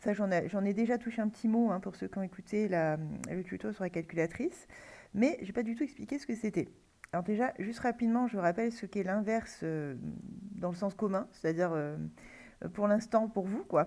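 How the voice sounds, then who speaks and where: Long, frequent pauses break up a fairly quick delivery. The tone is dark and mellow, with ordinary pitch variation. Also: woman, medium pitch for a woman. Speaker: math teacher. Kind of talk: lecture. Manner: halting, many fillers.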